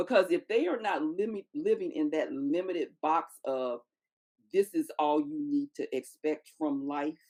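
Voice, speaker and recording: A woman speaks at a fairly slow pace in a dark, mellow tone. Her pitch is fairly low and swings very widely. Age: 60s. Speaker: podcast guest, midlife podcaster. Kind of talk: casual chat.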